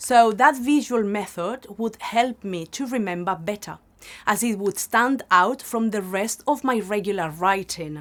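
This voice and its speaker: In a very clean recording with a silent background, a woman with a strong Spanish accent speaks at a fairly slow pace, medium pitch and ordinary pitch variation. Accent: Spanish accent, quite prominent. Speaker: language teacher. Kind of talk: tutorial.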